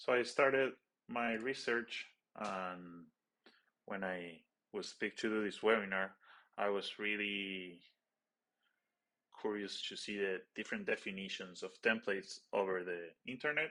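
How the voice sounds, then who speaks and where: The speaker has a non-native accent and a bright, sharp tone, moving at a fairly slow pace with ordinary pitch variation and long, frequent pauses. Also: man, fairly low pitch for a man. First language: not English. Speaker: stage and lighting designer. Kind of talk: webinar presentation. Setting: webinar.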